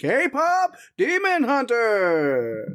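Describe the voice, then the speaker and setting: This is a put-on character voice pitched fairly high. Its pitch swings very widely. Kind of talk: formal, showy.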